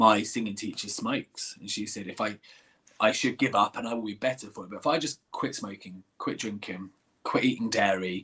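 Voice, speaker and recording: A man's fairly low, bright and sharp voice with an English accent, fairly quick delivery, ordinary pitch variation, big swings in loudness, and a very clean recording over a silent background. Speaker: singer and musical theatre actor. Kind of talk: interview Q&A. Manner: halting, repeats words.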